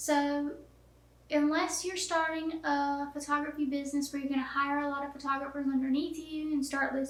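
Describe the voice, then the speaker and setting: Her high voice carries a slight Southern US accent. The woman speaks at a moderate pace, and audible room echo surrounds her. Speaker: photographer teaching online course. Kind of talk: tutorial. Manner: casual, down-to-earth with many fillers.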